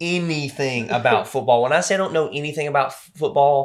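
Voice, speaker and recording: This man has a Southern US accent. He speaks at a moderate pace with a fairly high pitch. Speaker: podcast co-host. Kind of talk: casual podcast conversation.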